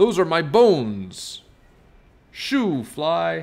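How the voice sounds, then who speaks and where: In a very clean recording with a silent background, a man growls in a put-on character voice. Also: fairly high pitch for a man. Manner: growling.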